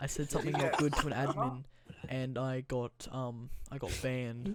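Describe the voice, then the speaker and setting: The man's speaking speed is middling, and his intonation stays fairly level. Background noise is clearly audible. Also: medium pitch for a man. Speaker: podcast host. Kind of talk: casual chat.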